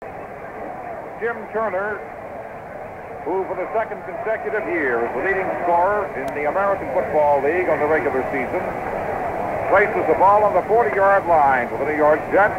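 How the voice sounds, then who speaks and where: High-pitched male speech at a moderate pace over loud background noise. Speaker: radio play-by-play announcer. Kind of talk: live football radio play-by-play. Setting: recorded from 1969 radio broadcast, vintage radio sound. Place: booth. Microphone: old recording.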